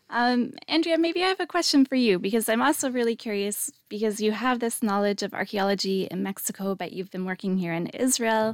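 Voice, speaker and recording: A woman with a Canadian accent talks at a fairly quick pace in an unremarkable speaking voice, her pitch fairly high and the sound dry and close with no echo. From Canada. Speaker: podcast host and academic. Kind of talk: casual interview. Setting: studio.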